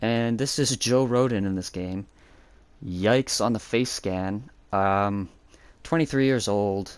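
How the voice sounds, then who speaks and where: In a very clean recording with a silent background, a man with an American accent speaks at a fairly low pitch and a fairly slow pace. He takes long, frequent pauses, and his pitch varies in an ordinary way. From United States. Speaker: gaming YouTuber. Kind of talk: gameplay commentary. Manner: casual, hesitant with fillers.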